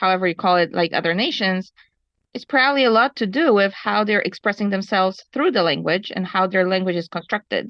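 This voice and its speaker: The speaker is a woman with a Polish accent. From Poland. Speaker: ski instructor, webinar participant. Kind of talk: webinar discussion.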